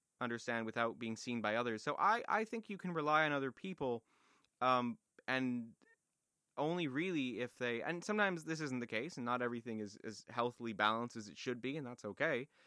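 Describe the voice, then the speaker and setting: Lively intonation and a bright, sharp tone in a Canadian accent, on a very clean recording with a silent background. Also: man, medium pitch for a man, fairly quick pace, dry, close sound with no echo. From Toronto, Canada. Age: 20s. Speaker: music student, podcast co-host. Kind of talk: casual chat.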